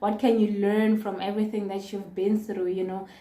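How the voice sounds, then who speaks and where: A woman speaks at medium pitch with a dark, mellow tone. Audible room echo surrounds her voice. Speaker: vlogger. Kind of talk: casual vlog talk to camera.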